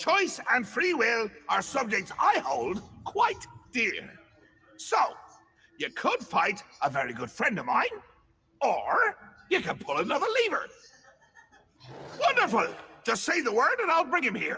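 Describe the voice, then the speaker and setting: Using a put-on character voice, a man talks at a moderate pace with extremely high pitch and long, frequent pauses. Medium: video game. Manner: erratic, theatrical, rambling.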